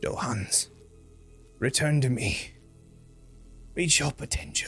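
Someone does a put-on character voice at a fairly slow pace over clear music in the background. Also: man, fairly high pitch for a man. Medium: actual play. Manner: commanding, coldly expectant; calm, condescending.

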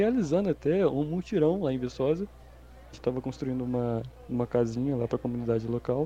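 A man speaks at a fairly quick pace with ordinary pitch variation. His is an unremarkable speaking voice. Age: 20s. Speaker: podcast guest. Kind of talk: casual chat.

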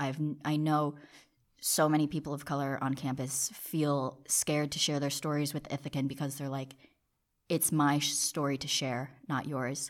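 On a very clean recording with a silent background, a woman with an American accent speaks in a very deep, low, monotone, flat voice at a moderate pace. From New Jersey. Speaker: college student, newspaper outreach manager. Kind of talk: casual interview.

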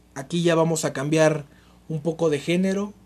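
This man talks at a fairly slow pace with a fairly high pitch. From Mexico, Nezahualcóyotl (State of Mexico). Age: 20s. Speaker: podcast host. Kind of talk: casual monologue. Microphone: cheap makeshift mic, pen and notebook noises.

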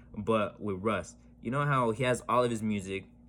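A man speaks with a fairly low pitch. The recording is very clean and the background silent. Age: 20s. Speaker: podcast host and DJ. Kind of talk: casual monologue. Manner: animated; fast.

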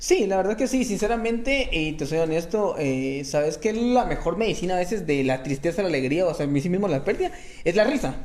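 This man speaks high in pitch, fairly quickly, with lively intonation. Noticeable noise can be heard behind him. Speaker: comedian. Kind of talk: casual chat.

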